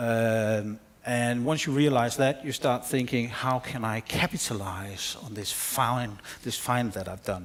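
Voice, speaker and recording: A man speaks at a fairly slow pace with a Danish accent. His pitch is medium, with ordinary variation. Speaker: film researcher. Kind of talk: conference presentation.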